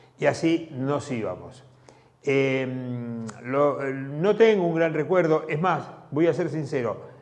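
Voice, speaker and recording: A man with a Rioplatense accent talks at a very slow pace in a fairly high pitch with ordinary pitch variation. Noticeable background noise runs behind him. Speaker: community TV host. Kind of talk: casual commentary. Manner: halting, repetitive.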